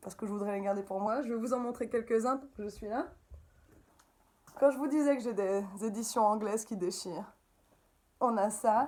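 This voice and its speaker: A woman with a slight Belgian accent and a fairly high pitch speaks at a moderate pace in an animated tone, leaving long, frequent pauses. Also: ordinary pitch variation. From Belgium. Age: 30s. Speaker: upcycling craft maker. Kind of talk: interview.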